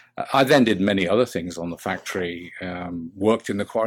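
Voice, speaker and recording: A British accent at a fairly quick pace, with ordinary pitch variation. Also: man. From English Midlands, England. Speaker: business coach. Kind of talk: interview. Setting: podcast. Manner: hesitant, many fillers.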